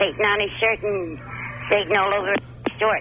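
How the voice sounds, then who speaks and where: Over noticeable background noise, a woman speaks at medium pitch and a fairly quick pace. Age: 60s. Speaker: caller. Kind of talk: phone-in storytelling. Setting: phone call.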